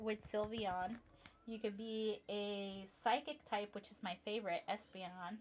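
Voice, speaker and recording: A woman speaks with a Spanish accent. Her voice is fairly high, and her intonation is fairly even. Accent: Spanish accent, noticeable. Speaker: livestreamer building toy sets. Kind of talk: casual livestream chat. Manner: chatty, with frequent fillers and self-corrections.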